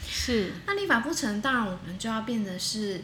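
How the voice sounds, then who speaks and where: Audible room echo and noticeable background noise surround a woman speaking at a moderate pace. Her pitch is fairly high, with ordinary pitch variation. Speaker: women's rights advocate. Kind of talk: interview. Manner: halting, many fillers.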